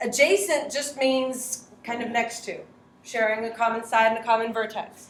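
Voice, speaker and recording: A woman talks at a moderate pace. Noticeable background noise and audible room echo come through. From Latin America. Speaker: high school math teacher. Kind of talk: classroom lesson. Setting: classroom.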